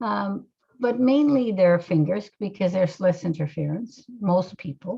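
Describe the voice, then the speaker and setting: A woman speaks at a fairly slow pace in a medium-pitched, somewhat breathy voice with a dark, mellow tone. Her intonation is lively. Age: 60s. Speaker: hypnotherapist. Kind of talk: interview. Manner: halting.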